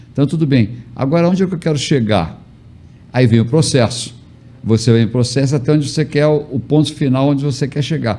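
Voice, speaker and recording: At a fairly quick pace, a man talks in a medium-pitched, somewhat breathy voice with ordinary pitch variation. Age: 70s. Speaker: motivational speaker and mentor. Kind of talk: casual chat.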